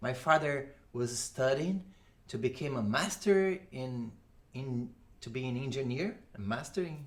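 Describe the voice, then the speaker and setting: A man with a Portuguese accent, medium pitch, lively intonation, a fairly slow pace and long, frequent pauses. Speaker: audio engineer and musician. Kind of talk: interview conversation. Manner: halting.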